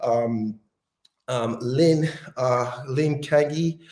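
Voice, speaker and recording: A man's somewhat breathy, medium-pitched voice holds a fairly even intonation. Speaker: company representative hosting live workout. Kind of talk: live stream workout and Q&A. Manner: fast; hesitant, many fillers.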